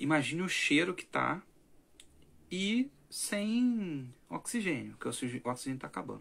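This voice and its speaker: This man's voice sits at a fairly high pitch and swings very widely in pitch. He talks at a fairly slow pace. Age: 20s. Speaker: language teacher and content creator; language teacher, content creator. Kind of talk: late-night livestream monologue. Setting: livestream at night. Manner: animated. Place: home room.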